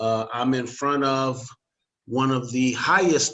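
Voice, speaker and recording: A man with an unremarkable speaking voice talks fairly slowly at a medium pitch, his intonation fairly even. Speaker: interviewer, local magazine forum host. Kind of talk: casual interview talk.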